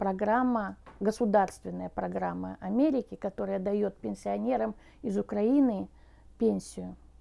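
The voice belongs to a woman. She talks at a very slow pace. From Ukraine, Cherkasy region village. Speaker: recent immigrant guest. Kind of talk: interview answers. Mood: grateful, calm. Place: home room.

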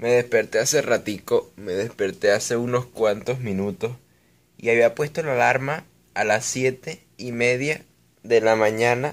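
Ordinary pitch variation colors a man's speech. His pace is fairly slow. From Venezuela. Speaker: gaming YouTuber. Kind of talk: casual vlog talk to camera. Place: home room. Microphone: phone near.

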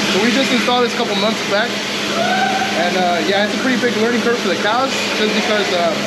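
A man rattles off words at a very fast pace as loud background noise fills the clip. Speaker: dairy farm manager. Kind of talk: farm tour explanation. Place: farm machine. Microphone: phone near.

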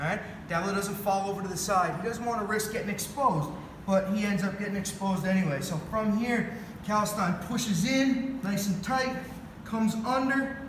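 A man speaks at a moderate pace with a high pitch and ordinary pitch variation, with light background noise and audible room echo. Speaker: grappling coach. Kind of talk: tutorial. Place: gym. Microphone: camera far.

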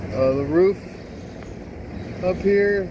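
Very slow delivery over noticeable background noise. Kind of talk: inspection narration. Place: street. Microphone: phone near.

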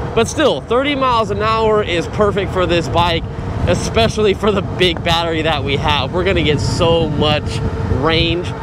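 Noticeable noise runs behind a man whose voice sounds dry, without any echo. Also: moderate pace. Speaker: e-bike reviewer. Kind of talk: casual vlog commentary. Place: bicycle. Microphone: helmet.

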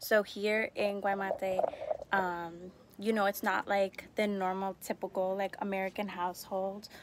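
Flat and monotone, a woman talks at a fairly slow pace. The sound is dry with no echo, and there is noticeable background noise. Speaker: expat host giving a tour. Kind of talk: casual vlog chat. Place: home room. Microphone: phone near.

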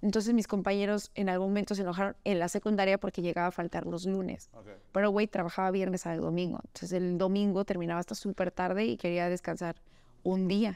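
A woman's dark, mellow tone at a very fast pace, fairly even intonation, quiet background. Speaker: children's party clown and entertainer; guest. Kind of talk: casual chat. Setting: studio. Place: home room.

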